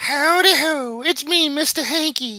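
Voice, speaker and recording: A high-pitched, put-on character voice is heard. It moves at a fairly slow pace. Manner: cheery.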